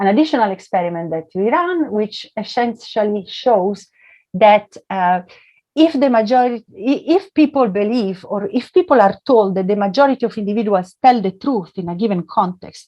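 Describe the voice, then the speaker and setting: Lively intonation in a woman's plain, everyday voice, fairly high-pitched and moderately paced. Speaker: economics professor. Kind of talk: academic talk.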